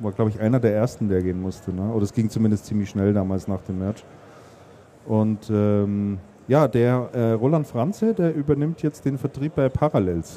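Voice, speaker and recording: This man's voice is fairly low in pitch, with a dark, mellow tone, ordinary pitch variation and a moderate pace. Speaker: podcast host. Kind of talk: casual chat. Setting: stage at a trade fair.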